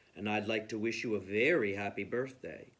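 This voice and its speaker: Putting on a rumbling character voice, a man talks at a fairly quick pace with a fairly low pitch and ordinary pitch variation. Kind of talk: bedtime story. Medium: read story. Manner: calm, polite.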